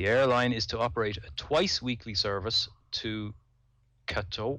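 Moderate pace and lively intonation from a man at medium pitch, over a quiet background. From Dublin, Ireland. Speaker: podcaster and amateur pilot. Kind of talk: casual chat.

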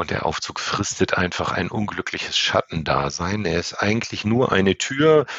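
Noticeable background noise sits behind a man whose fairly low voice moves with lively intonation. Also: moderate pace, hardly any pauses. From northern Germany. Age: 50s. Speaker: elevator safety inspection manager. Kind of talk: interview.

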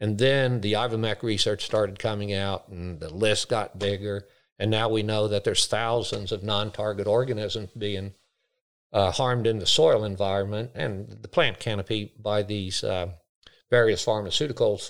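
In an unremarkable speaking voice, a man with an American accent talks at a moderate pace, fairly low in pitch with fairly even intonation. The recording is very clean, with a silent background. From United States. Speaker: grazier and agriculture educator. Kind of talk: interview. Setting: on location at a farm field day.

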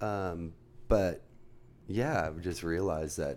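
Audible room echo surrounds a man with a very deep, low voice and an American accent. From US, Los Angeles County. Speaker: surf filmmaker and surfboard business owner. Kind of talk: casual interview.

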